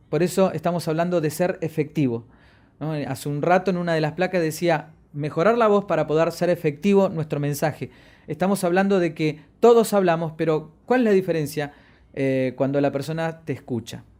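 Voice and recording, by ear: A man with a fairly high voice talks at a fairly quick pace. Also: ordinary pitch variation, slightly mellow tone, very clean recording, silent background.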